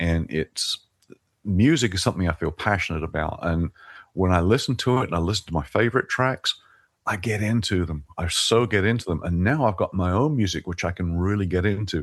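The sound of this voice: A man speaks at a fairly quick pace with a low pitch and ordinary pitch variation.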